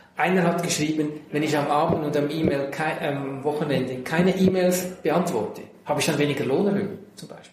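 A man speaks in a fairly high pitch, with audible room echo and noticeable background noise. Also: fairly quick pace. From Central Switzerland. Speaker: tech company manager. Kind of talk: interview. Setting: in person.

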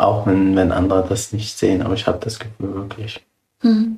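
A man speaks at a moderate pace in a calm tone, his pitch fairly low. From Syria. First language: Arabic (speaking German). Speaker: refugee. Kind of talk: interview. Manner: halting.

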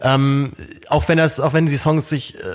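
Speaking very fast, a man's voice sits fairly high in pitch. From Germany. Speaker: podcast host. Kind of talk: casual chat. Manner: repeats words, halting.

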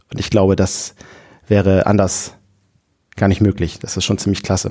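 A man is speaking. His pace is very fast. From northern Germany, Friesland. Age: 30s. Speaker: volunteer nativity play organizer. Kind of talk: casual interview.

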